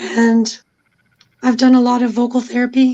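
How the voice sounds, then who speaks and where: A squeaky, high-pitched woman's voice. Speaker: YouTuber and cancer survivor. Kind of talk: casual chat.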